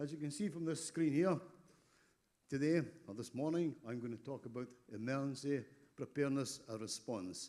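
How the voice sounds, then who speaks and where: His voice is fairly high for a man. The rise and fall of his pitch is ordinary. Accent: Scottish. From Scotland. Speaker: emergency response trainer. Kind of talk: conference presentation.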